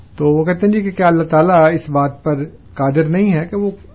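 A man's voice with ordinary pitch variation. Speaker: religious scholar answering listener questions. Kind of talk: call-in religious discussion. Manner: calm, never bitter in tone.

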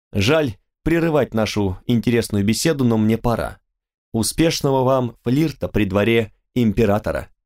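Against a quiet background, the words are read aloud in a natural voice.

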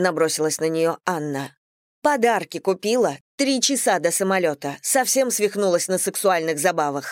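This is a natural reading voice with lively intonation. The background is quiet.

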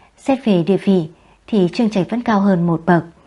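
Ordinary pitch variation runs through this natural reading voice.

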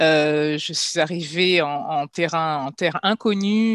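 A woman speaks in an ordinary speaking voice, fairly low in pitch with ordinary pitch variation. The sound is dry and close, with no echo. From Paris region, France (Guadeloupean family). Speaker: children's book publisher. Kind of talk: interview.

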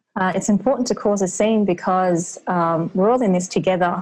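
In an Australian accent, a woman speaks at a moderate pace and medium pitch with fairly even intonation. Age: 40s. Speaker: anti-racism coach. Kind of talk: interview.

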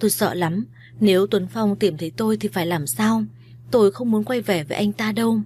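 Pitch varies in an ordinary way across this plain reading aloud.

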